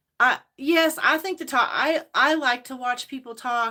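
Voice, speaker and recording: The voice has an American accent and a bright, sharp tone. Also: woman. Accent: self-described hillbilly. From Indiana (Hayden, near North Vernon). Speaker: lifestyle vlogger. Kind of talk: casual livestream chat. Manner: rambling, halting.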